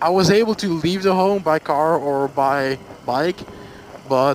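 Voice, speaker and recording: A man with a Flemish Belgian accent at a fairly high pitch, ordinary pitch variation, and noticeable background noise. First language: Dutch. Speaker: motorcycle vlogger. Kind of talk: casual storytime vlog. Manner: halting, many fillers.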